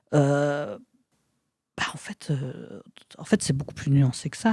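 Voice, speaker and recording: A woman speaks at a fairly slow pace in a very deep, low pitch, somewhat breathy with a dark, mellow tone. The sound is dry and close, with no echo. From Belgium, province of Luxembourg. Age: 40s. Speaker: actress and author. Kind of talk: casual chat. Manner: halting; animated.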